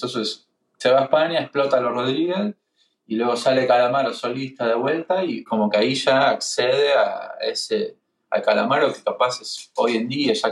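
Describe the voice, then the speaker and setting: A man with a Rioplatense accent speaks at a moderate pace. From Argentina, Buenos Aires. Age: 30s. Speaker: singer-songwriter and guitarist. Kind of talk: casual chat.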